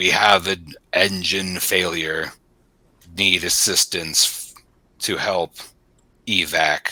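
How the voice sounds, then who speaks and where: In a put-on character voice, a man growls out a guttural, very deep, low pitch with monotone, flat intonation at a very slow pace, leaving long, frequent pauses. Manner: halting, stuttering.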